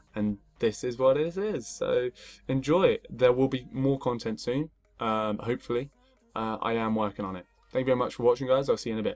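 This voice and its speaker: A man talks at a fairly quick pace in a medium pitch, with ordinary pitch variation. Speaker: security researcher presenting a tutorial. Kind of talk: tutorial presentation. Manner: fast; hesitant, many fillers.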